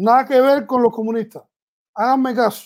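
Spoken at a moderate speed, the audio is very clean and the background completely silent. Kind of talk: casual chat.

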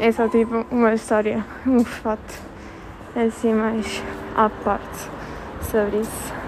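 Over noticeable background noise, a woman speaks at a fairly slow pace in monotone, flat intonation, with long, frequent pauses. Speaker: podcaster. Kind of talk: casual monologue. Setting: walking while recording. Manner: hesitant, many fillers.

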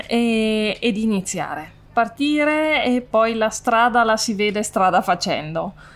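Speech at a very slow pace with very wide pitch swings comes through on a very clean recording with a silent background. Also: woman. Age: 30s. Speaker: farmer. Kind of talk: interview. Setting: on the farm.

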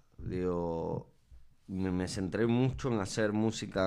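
A man speaks with a very deep, low pitch and a dark, mellow tone. His pitch varies in an ordinary way, and the room echo is audible. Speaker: musician. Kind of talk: casual interview.

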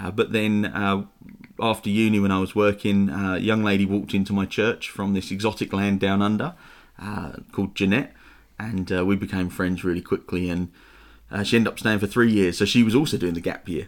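This man has a fairly low pitch and a slight Estuary accent. He talks at a fairly quick pace with fairly even intonation. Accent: London English, slight Estuary. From east London, England. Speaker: church pastor. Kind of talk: casual interview chat.

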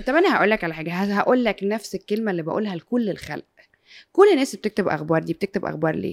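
A woman talks at a very fast pace with lively intonation and a medium pitch. The sound is dry and close, with no echo. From Egypt. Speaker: sports radio and TV presenter. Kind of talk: casual interview chat.

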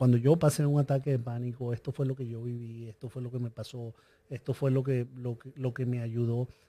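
On a very clean recording with a silent background, a man with a medium-pitched, somewhat breathy voice and a dark, mellow tone speaks at a moderate pace. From Venezuela. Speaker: business coach and entrepreneur. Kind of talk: interview conversation.

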